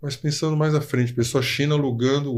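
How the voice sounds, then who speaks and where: Using an unremarkable speaking voice, a man keeps a fairly high pitch and fairly even intonation. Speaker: podcast host, lawyer. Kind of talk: casual interview chat.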